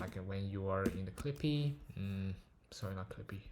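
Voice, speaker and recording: Somewhat breathy, a man speaks at a fairly low pitch. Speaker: machine learning paper reviewer. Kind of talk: technical paper walkthrough. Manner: slow; hesitant, many filler words.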